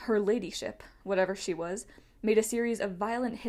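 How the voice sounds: The intonation is fairly even. It comes in a natural reading voice.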